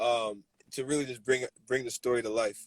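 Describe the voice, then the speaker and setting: A man with an American accent speaks at a medium pitch, the sound dry and close with no echo. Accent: usually American, can switch to Nigerian. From Nigeria, later New Jersey. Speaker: filmmaker. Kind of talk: interview.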